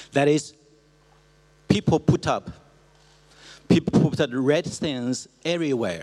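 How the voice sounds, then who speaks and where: A man with a Chinese accent speaks at a fairly slow pace. His pitch is fairly high, with lively intonation. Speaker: cultural institute director. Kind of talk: presentation. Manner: halting.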